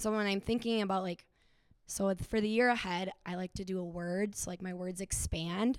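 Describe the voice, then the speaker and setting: A woman with a Minnesota accent, medium pitch, fairly even intonation and a moderate pace. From Minnesota (Stillwater). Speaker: sobriety coach and health professional. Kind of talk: live podcast panel discussion. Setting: stage with audience.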